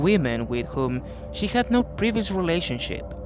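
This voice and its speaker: A man at a moderate pace, with music in the background. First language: not English. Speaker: true crime narrator. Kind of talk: true crime narration.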